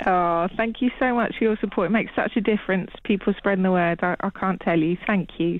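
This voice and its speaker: A woman with a normal speaking voice talks at a fairly quick pace with hardly any pauses, a medium pitch, ordinary pitch variation and very even loudness. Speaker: TV channel operator. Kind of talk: radio interview.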